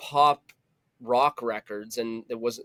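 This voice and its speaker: Dry and close with no echo, the recording carries a man's voice at a medium pitch. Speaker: musician, singer-songwriter. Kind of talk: casual interview chat. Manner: animated, casual.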